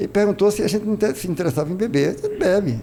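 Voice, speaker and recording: Words rush out of a man at a very fast pace. Noticeable noise fills the background. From Brazil, Ceará (Crato). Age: 70s. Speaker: religious leader and former footballer. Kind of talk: interview. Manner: halting.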